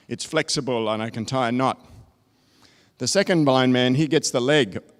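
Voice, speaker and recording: With an Australian accent, a man talks at a fairly quick pace with a medium pitch and ordinary pitch variation, on a very clean recording with a silent background. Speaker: technology consultant. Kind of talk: conference presentation.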